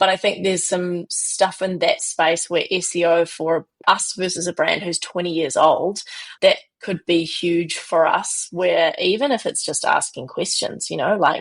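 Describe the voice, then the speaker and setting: With a New Zealand accent, a woman talks at a fairly slow pace. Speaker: business founder. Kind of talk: podcast interview.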